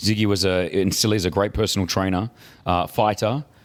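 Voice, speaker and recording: Speaking at a very fast pace, a man comes through a very clean recording with a silent background. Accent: Australian. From Australia. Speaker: podcast co-host. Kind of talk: casual chat.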